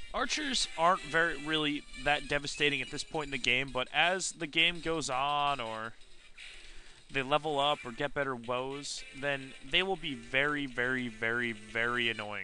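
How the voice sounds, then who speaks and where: With music in the background, the voice keeps a moderate pace and an ordinary range of pitch. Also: man, fairly high pitch for a man. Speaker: let's play gamer. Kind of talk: gameplay commentary. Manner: casual, conversational.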